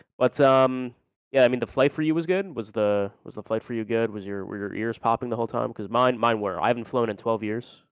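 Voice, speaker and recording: Talking at a fairly quick pace, a man with an unremarkable speaking voice keeps a medium pitch and ordinary pitch variation. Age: 20s. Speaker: gamer. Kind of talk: casual chat.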